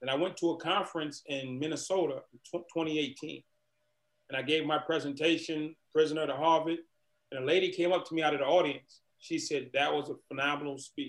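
An ordinary speaking voice with an American accent moves at a fairly quick pace with fairly even intonation. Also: man, fairly high pitch for a man. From Boston, Massachusetts. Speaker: motivational speaker and former prisoner. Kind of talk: interview.

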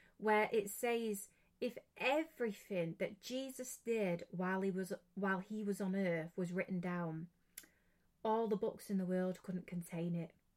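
A woman talks at a fairly slow pace in an English accent. Her pitch varies in an ordinary way. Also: medium pitch for a woman. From England. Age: 20s. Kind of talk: religious podcast talk.

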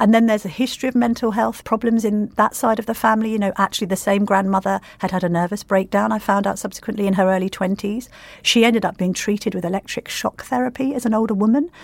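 A woman at a medium pitch and a very fast pace, with fairly even intonation, in a very clean recording with a silent background. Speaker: newspaper journalist. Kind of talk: interview.

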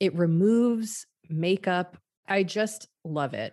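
Against a quiet background, a woman with an unremarkable speaking voice and a fairly low pitch shows ordinary pitch variation. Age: 30s. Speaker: podcast host. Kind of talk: casual chat.

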